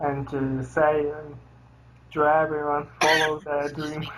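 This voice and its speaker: Noticeable background noise sits behind speech that unfolds at a fairly slow pace. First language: not English. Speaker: metal band member. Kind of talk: interview. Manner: halting.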